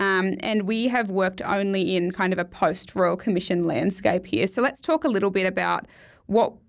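Her medium-pitched voice carries vocal fry and lively intonation, in an Australian accent. The woman is heard on a very clean recording with a silent background. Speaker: podcast host, finance broker. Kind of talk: casual podcast discussion; scripted intro. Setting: studio.

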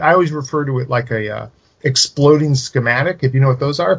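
A man with a fairly high pitch speaks at a moderate pace, somewhat breathy, with ordinary pitch variation. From California, Silicon Valley. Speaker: horror writer and genre critic. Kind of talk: casual chat.

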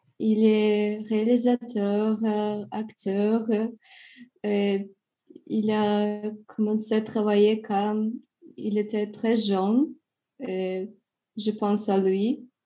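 In a Russian accent, the voice carries a dark, mellow tone with monotone, flat intonation. The pace is very slow, with long, frequent pauses. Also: woman, fairly high pitch for a woman. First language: Russian (speaking French). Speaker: English teacher and French learner. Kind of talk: interview. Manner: halting, many hesitations.

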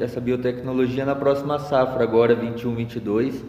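A man is speaking with audible room echo. Noticeable background noise runs behind him. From northern Paraná, Brazil (Londrina region). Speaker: agronomist. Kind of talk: interview.

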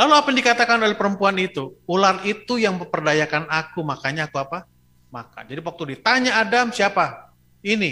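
A man's raised, projected voice, high-pitched and very fast, with lively intonation and a bright, sharp, animated tone. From Bandung, West Java (ethnic Batak). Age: 50s. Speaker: pastor. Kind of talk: sermon. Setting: church, streamed online.

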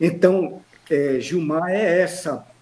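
A man talks over noticeable background noise. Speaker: professor, actor and memorialist. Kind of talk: radio interview. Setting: remote online call.

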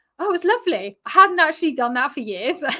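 On a very clean recording with a silent background, a woman speaks with a southern English accent in a bright, sharp tone. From Brighton, southern England. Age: 40s. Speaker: yoga instructor and relationship coach. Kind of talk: interview chat.

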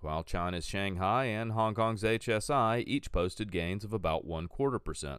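A man speaks quickly with a fairly low pitch and lively intonation in a normal speaking voice, on a very clean recording with a silent background. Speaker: financial news presenter. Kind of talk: scripted market news brief, read from copy. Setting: studio. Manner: crisp, brisk newsreader delivery rattling off figures; formal, measured and neutral in tone.

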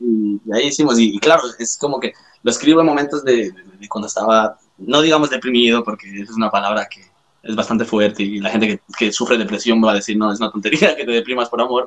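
Talking at a very fast pace with a Latin American accent, a man at a medium pitch shows ordinary pitch variation and big swings in loudness. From Ecuador and Spain. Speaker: rapper. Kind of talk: casual chat.

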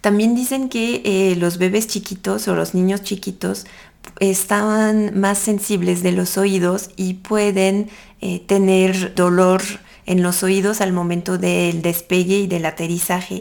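Speaking very slowly in a French accent, a woman keeps a medium pitch and fairly even intonation. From France. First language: French (speaking Spanish). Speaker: podcast host, tourism promoter. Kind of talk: casual monologue with travel advice.

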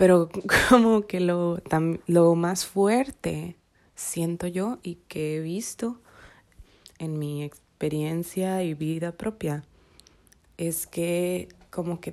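In a very clean recording with a silent background, a woman speaks at a fairly low pitch in a dark, mellow tone with ordinary pitch variation. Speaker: podcaster. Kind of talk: casual reflective monologue. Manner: halting; spontaneous.

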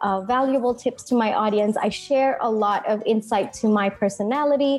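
A woman's fairly high voice at a moderate pace, with fairly even intonation over noticeable background noise. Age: 20s. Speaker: marketing strategist. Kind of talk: interview.

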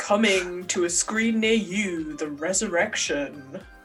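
A put-on character voice at a middle pitch with lively intonation, over clear music in the background. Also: fairly slow pace. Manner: dramatic, grandiose.

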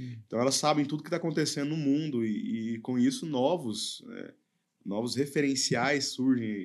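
In a normal speaking voice, a man talks at fairly high pitch and a moderate pace with ordinary pitch variation. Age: 30s. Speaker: youth pastor. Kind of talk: casual chat.

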